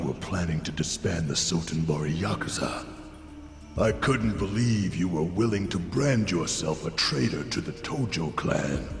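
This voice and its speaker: Using a put-on character voice, a man speaks very deep and low at a moderate pace. There is a slight echo and clear background noise. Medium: game stream. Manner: smug, cool.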